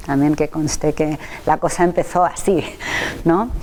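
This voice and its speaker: A woman speaks in a Catalan accent with a very deep, low pitch. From Catalonia, Spain. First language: Catalan (speaking Spanish). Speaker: nursing researcher and professor. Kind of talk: interview.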